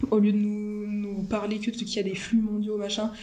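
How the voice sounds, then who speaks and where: A woman talks at a very fast pace and a medium pitch, with audible room echo and noticeable background noise. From France. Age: 20s. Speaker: geography student. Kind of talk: casual chat. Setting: video call. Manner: fast, casual with many fillers.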